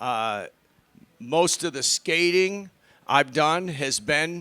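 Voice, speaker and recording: The recording is very clean, with a silent background. The speaker has an American accent and a bright, sharp tone. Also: man. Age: 60s. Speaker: skateboarder. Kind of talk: casual talk.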